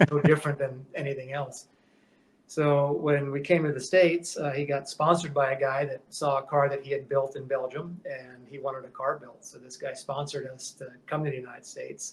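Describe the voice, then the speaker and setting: A man with an American accent speaks at a fairly quick pace with a fairly high pitch and a somewhat breathy voice. His intonation is monotone and flat, with big swings in loudness. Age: 60s. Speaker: metal shaper, custom shop owner. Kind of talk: podcast interview. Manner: halting, many fillers and restarts; casual, conversational.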